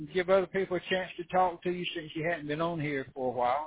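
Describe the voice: Fast pace with a husky, rough edge. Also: man.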